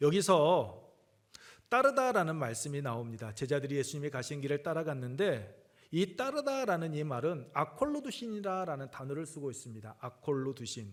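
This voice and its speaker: A man's fairly high voice at a moderate pace with lively intonation, a plain, everyday voice. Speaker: pastor. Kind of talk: sermon. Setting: church with congregation.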